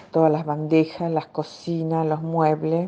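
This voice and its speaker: Her intonation monotone and flat, a woman speaks at a fairly slow pace in a very deep, low voice. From Argentina, Entre Ríos and Rosario. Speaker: psychiatrist and author. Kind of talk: personal testimony. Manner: hesitant, with many fillers.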